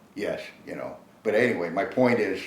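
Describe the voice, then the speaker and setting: A man speaks over noticeable background noise. The room echo is audible. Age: 70s. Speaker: bow hunter. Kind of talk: casual interview chat. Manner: halting, many restarts and fillers.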